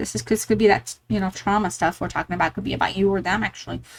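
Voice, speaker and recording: A woman is speaking. Vocal fry runs through her voice. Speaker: tarot reader. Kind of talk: tarot reading. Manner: fast; animated.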